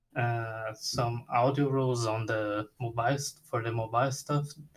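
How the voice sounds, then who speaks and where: A somewhat breathy man with a Portuguese accent, medium pitch, ordinary pitch variation and a fairly slow pace. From Brazil. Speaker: game audio freelancer. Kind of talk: casual self-introduction in group video call. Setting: video call. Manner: halting.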